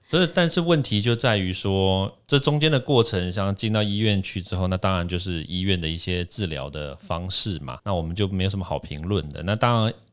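Using a very deep, low pitch, a man talks at a fairly quick pace with lively intonation and hardly any pauses. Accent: Taiwanese. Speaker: toxicologist and podcast host. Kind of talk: casual interview chat. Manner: animated.

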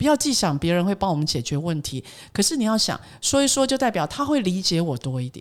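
At a fairly quick pace, a woman speaks in a Taiwanese accent. Her pitch is fairly low and swings very widely. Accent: Taiwanese Mandarin. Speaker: corporate trainer and author. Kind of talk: interview.

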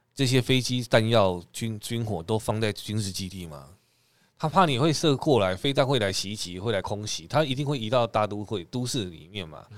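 In a very clean recording with a silent background, a man with a normal speaking voice at medium pitch uses lively intonation and big swings in loudness. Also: moderate pace. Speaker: podcast co-host. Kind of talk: casual chat.

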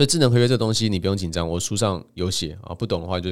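A man's very deep, low voice at a very fast pace, with ordinary pitch variation, in a very clean recording over a silent background. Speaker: podcast host and author. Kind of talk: solo monologue.

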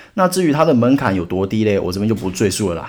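A man's fairly low voice at a very fast pace. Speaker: podcast host teaching stock investing basics. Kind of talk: solo educational podcast. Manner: casual, chatty with many filler particles.

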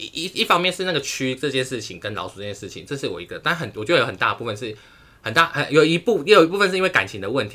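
A man's fairly high, bright, sharp voice with vocal fry, very wide pitch swings and a very fast pace. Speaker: podcast co-host, university student. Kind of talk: casual chat. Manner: animated.

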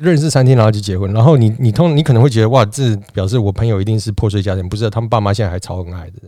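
A man's fairly low pitch and dark, mellow tone, with ordinary pitch variation, big swings in loudness, a very fast pace and hardly any pauses. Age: 40s. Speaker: returnee businessman. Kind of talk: casual chat.

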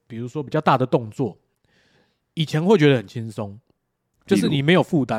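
A man talks at a fairly quick pace in a plain, everyday voice with lively intonation. The sound is dry and close, with no echo. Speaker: podcast co-host. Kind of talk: casual chat.

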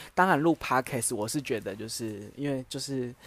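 At a moderate pace and medium pitch, a man speaks with ordinary pitch variation in a very clean recording with a silent background. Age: 20s. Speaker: podcaster. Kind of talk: solo casual monologue. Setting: at home.

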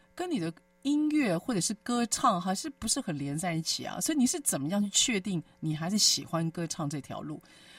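Music plays in the background as a woman talks at a fairly quick pace with hardly any pauses. Her medium pitch moves in very wide swings. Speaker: radio host. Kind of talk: radio interview chat. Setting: studio.

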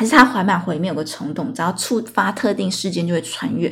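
A somewhat breathy woman speaks at a medium pitch and fairly quick pace with lively intonation. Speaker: podcast host. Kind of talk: casual solo storytelling monologue. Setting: solo recording late at night. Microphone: new recording equipment.

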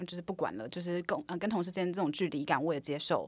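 Speaking with a Taiwanese accent, a woman moves at a very fast pace. Her pitch sits fairly low. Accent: Taiwanese Mandarin. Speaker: product manager. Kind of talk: casual interview chat.

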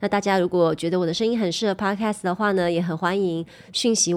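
A woman speaks in a plain, everyday voice at medium pitch with ordinary pitch variation. Her pace is fairly quick, and the recording is very clean with a silent background. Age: 40s. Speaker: podcast host and YouTuber. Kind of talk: casual chat.

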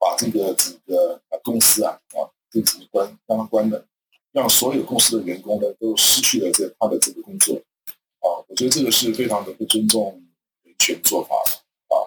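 A man talks at a moderate pace, captured in a dry, close sound with no echo. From Taiwan. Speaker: university associate professor. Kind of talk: radio talk show discussion. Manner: halting, many fillers.

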